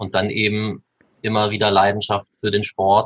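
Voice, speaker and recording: A man with a fairly low pitch talks at a moderate pace, his intonation monotone and flat. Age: 20s. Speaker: youth table tennis coach. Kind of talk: podcast interview.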